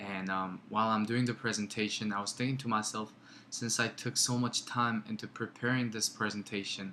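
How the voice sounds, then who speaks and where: A man with a Korean accent talks at a moderate pace and fairly low pitch. His tone is bright and sharp, his intonation monotone and flat. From South Korea. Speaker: student. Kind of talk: class presentation. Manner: halting, with filler words and pauses.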